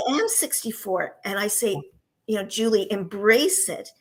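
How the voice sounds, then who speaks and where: The woman's voice is fairly high, with a bright, sharp tone. She speaks at a fairly slow pace with ordinary pitch variation. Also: big swings in loudness. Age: 60s. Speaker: divorce coach and author. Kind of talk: interview.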